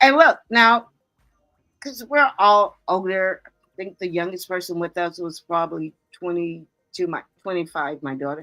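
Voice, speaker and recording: An ordinary speaking voice from a woman with an American accent, medium in pitch, lively in intonation, at a fairly slow pace. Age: 60s. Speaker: podcast co-host. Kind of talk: casual chat. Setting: live stream.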